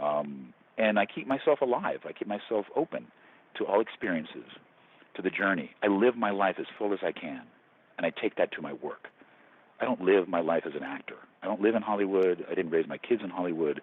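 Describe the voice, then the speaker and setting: With an unremarkable speaking voice, a man talks at a fairly low pitch and a fairly quick pace, his intonation lively. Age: 60s. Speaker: actor. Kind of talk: interview.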